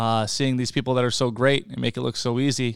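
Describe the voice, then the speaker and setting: This man has an unremarkable speaking voice at medium pitch. He speaks at a fairly quick pace with fairly even intonation. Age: 30s. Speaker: podcast host and plumber. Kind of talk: casual solo monologue. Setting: home apartment.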